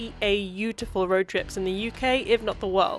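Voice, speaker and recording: Music plays in the background. A woman speaks with a southern English accent. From Cambridge, UK. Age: 20s. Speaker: travel vlogger. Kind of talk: travel vlog narration.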